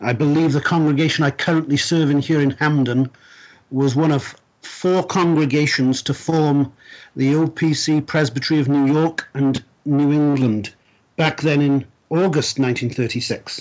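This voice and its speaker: The speaker talks at a fairly slow pace in a Welsh accent. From South Wales. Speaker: church minister and presbyter. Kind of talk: interview. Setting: remote call from his study. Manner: formal, measured, with fillers.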